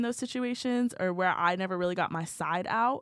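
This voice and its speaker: An unremarkable speaking voice moves at a fairly quick pace with ordinary pitch variation over a very clean recording and a silent background. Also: woman. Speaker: college student podcast co-host. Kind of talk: casual chat.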